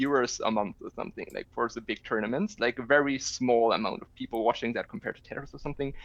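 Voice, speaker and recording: A man speaks with a German accent at medium pitch. The sound is dry and close, with no echo. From Germany. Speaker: video game player. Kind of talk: casual chat.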